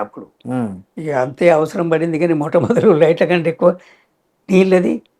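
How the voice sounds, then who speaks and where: The speaker is a man with a high pitch and ordinary pitch variation. His tone is dark and mellow. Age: 90s. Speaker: village sarpanch (elected village head), interview guest. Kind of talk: interview answer.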